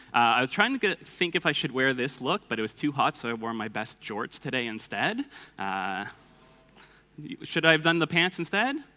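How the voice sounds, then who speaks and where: Loud and bright with a sharp tone, a man with a Canadian accent speaks at a moderate pace and fairly high pitch, his pitch swinging very widely. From Canada, Toronto. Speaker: conference speaker, developer and coding instructor. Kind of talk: conference talk. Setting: stage with audience. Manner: casual with many filler words.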